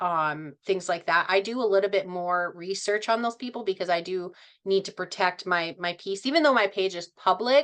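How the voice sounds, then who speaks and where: Against a quiet background, a woman talks at a fairly quick pace in a normal speaking voice of medium pitch. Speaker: social media influencer and trainer. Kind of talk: online training session.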